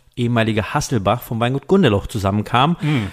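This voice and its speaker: A man talks at a moderate pace. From western Germany (Rheingau and Mosel). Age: 30s. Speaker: wine merchant and wine magazine publisher. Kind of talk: casual interview conversation. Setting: studio. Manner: hesitant, many fillers.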